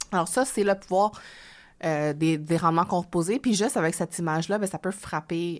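A woman's plain, everyday voice at a moderate pace, with ordinary pitch variation, on a very clean recording with a silent background. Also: fairly low pitch for a woman. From Quebec. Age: young. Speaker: author and finance blogger. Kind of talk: interview.

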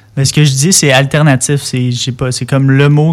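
A man with a Quebec accent speaks at a fairly slow pace in a medium pitch with a monotone, flat intonation. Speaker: singer-songwriter. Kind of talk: casual interview. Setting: studio. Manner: hesitant.

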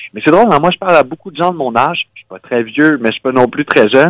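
A man with a normal speaking voice talks at a fairly quick pace with lively intonation, recorded in a dry, close sound with no echo. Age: 30s. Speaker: nonprofit director. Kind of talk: radio interview.

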